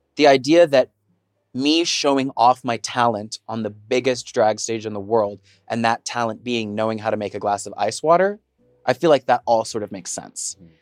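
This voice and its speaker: With music in the background, a man with an American accent speaks at a medium pitch with ordinary pitch variation, the sound dry and close with no echo. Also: moderate pace. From Texas. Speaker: drag performer. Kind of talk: casual chat.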